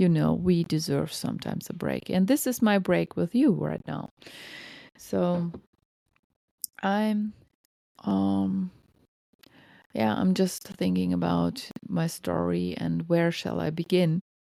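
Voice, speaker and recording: In a German accent, the speaker goes at a very slow pace with long, frequent pauses, on a very clean recording with a silent background. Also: woman. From Germany. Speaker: podcast host, lactation counselor. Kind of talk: personal storytelling monologue. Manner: casual, with hesitations.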